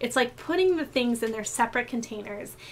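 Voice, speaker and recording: A woman with a fairly high-pitched voice. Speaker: tarot reader. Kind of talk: tarot reading. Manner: fast.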